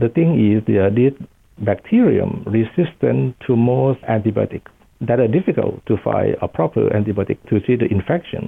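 Speaking with a Thai accent, a man keeps his loudness very even. His intonation is lively. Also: medium pitch for a man, moderate pace. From Thailand. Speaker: professor of infectious disease. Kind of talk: interview.

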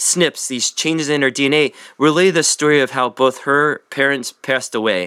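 Recorded very cleanly against a silent background, a man with a fairly high pitch and a bright, sharp tone speaks at a moderate pace in a dry, close sound with no echo. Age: 40s. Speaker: physician. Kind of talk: interview.

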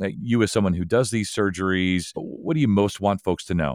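An unremarkable speaking voice from a man, fairly low in pitch and fairly quick in pace, with a dry, close sound with no echo and a very clean recording over a silent background. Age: 50s. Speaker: podcast host. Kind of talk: interview; scripted outro.

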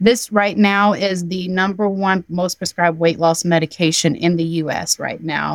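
An unremarkable speaking voice belongs to a woman with an American accent, talking at a moderate pace in a dry, close sound with no echo on a very clean recording with a silent background. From US South, Georgia. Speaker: nurse practitioner. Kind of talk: interview.

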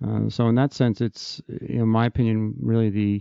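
A man with a New Jersey accent. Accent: New Jersey American. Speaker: bariatric surgeon. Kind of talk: interview. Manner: hesitant with fillers.

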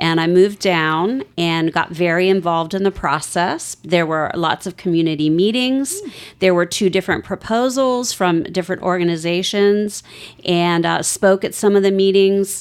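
A woman with a normal speaking voice and an American accent, ordinary pitch variation and a moderate pace. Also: medium pitch for a woman. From Northern Virginia. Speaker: respiratory therapist. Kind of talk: interview.

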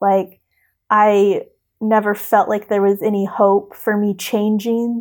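At a very slow pace, a woman speaks in a flat monotone at medium pitch on a very clean recording with a silent background. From US Midwest. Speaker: teacher and adoptee sharing her story. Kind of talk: personal testimony in interview. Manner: casual, many fillers and laughs.

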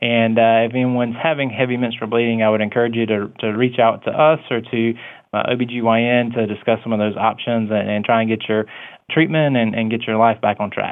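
A man with a Southern US accent, medium pitch and fairly even intonation, at a fairly quick pace. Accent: Southern US (Georgia). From US South, Coffee County, Georgia. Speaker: physician (OB/GYN). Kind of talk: interview.

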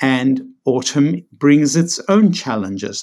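A man with a South African accent, medium pitch and lively intonation. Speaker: psychiatrist and author. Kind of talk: interview discussing his book.

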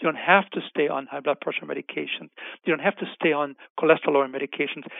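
A man with a German accent. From Germany. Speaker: physician and health researcher. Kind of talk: interview.

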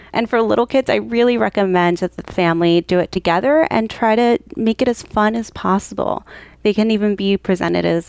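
The voice is dry and close with no echo, moving at a moderate pace with lively intonation. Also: woman, very even loudness. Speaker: pediatric psychologist. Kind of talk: interview.

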